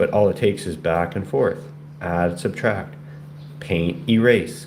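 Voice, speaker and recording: Lively intonation carries through noticeable background noise. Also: man. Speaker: painter. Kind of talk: casual painting livestream talk. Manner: halting, repetitive stammers.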